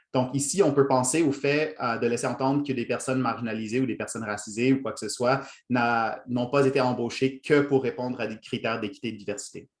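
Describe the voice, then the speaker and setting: A man with a Quebec accent at a fairly quick pace, fairly even intonation and hardly any pauses. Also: medium pitch for a man. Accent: Quebec French, formerly Franco-Ontarian. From Ontario, Franco-Ontarian (Toronto). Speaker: workshop trainer, lecturer. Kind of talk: lecture. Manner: hesitant, many fillers.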